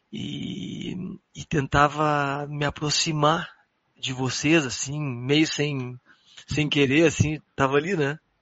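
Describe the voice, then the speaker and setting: Fairly high in pitch, a man speaks at a very slow pace with fairly even intonation and big swings in loudness. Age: 40s. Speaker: jazz guitarist. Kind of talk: casual chat.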